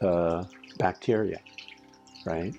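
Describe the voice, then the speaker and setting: Music plays in the background as a man speaks. His voice is very deep and low, and his pace is moderate. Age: 70s. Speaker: spiritual teacher, channel host. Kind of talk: monologue talk. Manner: halting, many repeats.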